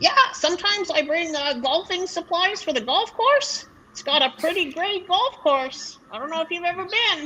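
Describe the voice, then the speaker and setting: A woman performs a put-on character voice at an extremely high pitch and a moderate pace. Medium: actual play. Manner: cheerful, chatty.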